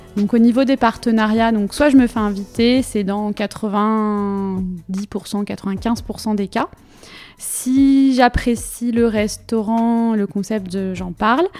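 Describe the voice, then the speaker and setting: Over noticeable background noise, a woman with a fairly high pitch speaks at a very slow pace with fairly even intonation. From Brittany, Finistère (France). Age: 30s. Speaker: food Instagram blogger, digital communications worker. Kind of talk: interview. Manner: halting, frequent hesitations.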